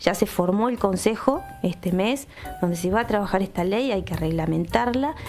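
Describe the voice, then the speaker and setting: With music in the background, a woman of medium pitch speaks at a moderate pace with lively intonation. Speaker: Alzheimer's association representative. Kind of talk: radio interview.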